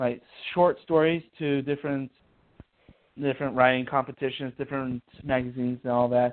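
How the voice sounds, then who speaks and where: With an American accent, a man speaks in monotone, flat intonation, broken by long, frequent pauses. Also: medium pitch for a man, moderate pace. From Ohio. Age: 20s. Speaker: author. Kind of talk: interview. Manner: halting.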